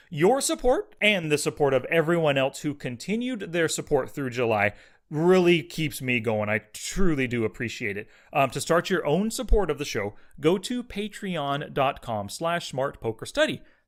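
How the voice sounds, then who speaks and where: On a very clean recording with a silent background, a man talks at a moderate pace in a fairly high pitch with very wide pitch swings. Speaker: poker coach and podcast host. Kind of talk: solo podcast Q&A. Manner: casual, energetic.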